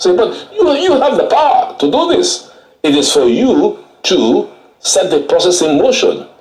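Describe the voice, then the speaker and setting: Audible room echo surrounds a man's voice. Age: 70s. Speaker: lawyer. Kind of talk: TV interview. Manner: animated.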